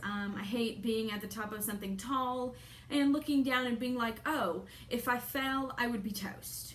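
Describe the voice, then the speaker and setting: Audible room echo surrounds a woman with a fairly high voice. She speaks at a moderate pace with ordinary pitch variation. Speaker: vlogger. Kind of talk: casual chat. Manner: soft-spoken.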